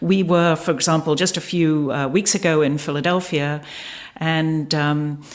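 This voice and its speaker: Over noticeable background noise, a woman with a very deep, low pitch speaks at a moderate pace with fairly even intonation. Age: 60s. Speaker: breast cancer survivor and dragon boat paddler. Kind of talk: casual chat.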